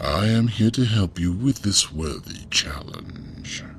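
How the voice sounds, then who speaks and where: Against clear background noise, a man uses a put-on character voice at a fairly slow pace. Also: fairly low pitch for a man. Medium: audio drama. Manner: slow, solemn, formal.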